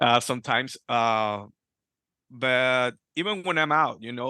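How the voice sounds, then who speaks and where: A man's voice of medium pitch with ordinary pitch variation. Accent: Spanish. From Peru. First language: Spanish. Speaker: Freemason. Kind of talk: interview. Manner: halting.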